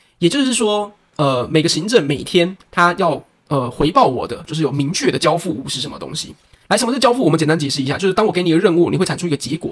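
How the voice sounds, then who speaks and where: Using lively intonation, a man with a fairly high pitch talks in a plain, everyday voice. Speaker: cram school science teacher and podcast co-host. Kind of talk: casual chat.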